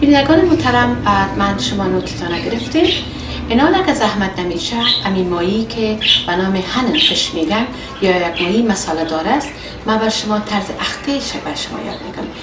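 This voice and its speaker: A woman talks at a moderate pace. Music plays in the background. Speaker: cooking show host. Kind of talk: tutorial. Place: kitchen.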